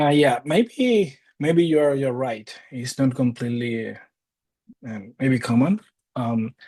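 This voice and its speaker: A man speaks in a Cuban accent at a medium pitch. His pace is very slow, and his pitch variation is ordinary. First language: Spanish. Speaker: data science instructor. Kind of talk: interview. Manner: hesitant, with fillers and repeats.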